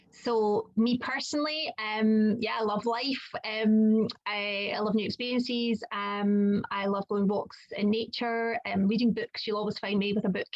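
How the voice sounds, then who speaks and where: A woman with a Scottish accent speaks at a fairly slow pace and fairly high pitch, with hardly any pauses. Her intonation is fairly even, and background noise is noticeable. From Scotland. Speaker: children's occupational therapist and coach. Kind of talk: casual chat. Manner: hesitant, many fillers.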